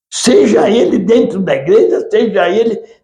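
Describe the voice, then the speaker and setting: The voice has a dark, mellow tone and a fairly slow pace, with audible room echo. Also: man. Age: 80s+. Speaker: history professor, retired military. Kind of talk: lecture. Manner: halting.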